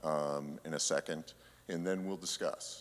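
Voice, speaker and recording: A man talks at a fairly slow pace in a shaky voice. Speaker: church council member. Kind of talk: congregational meeting presentation. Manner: halting.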